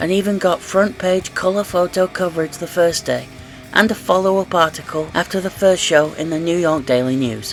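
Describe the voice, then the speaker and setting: A man's high-pitched voice with music in the background. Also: ordinary pitch variation, moderate pace. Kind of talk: wrestling history narration.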